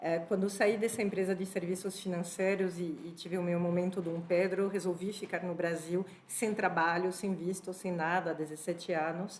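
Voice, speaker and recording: A woman in a French accent, medium in pitch, monotone and flat, at a moderate pace with hardly any pauses. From France (born in Spain). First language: French (speaking Portuguese). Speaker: HR executive, panel speaker. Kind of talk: panel talk.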